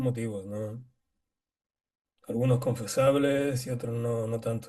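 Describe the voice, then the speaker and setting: A dark, mellow tone at a very slow pace, with long, frequent pauses, fairly even intonation and big swings in loudness. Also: man. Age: 60s. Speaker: qigong teacher. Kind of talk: casual chat.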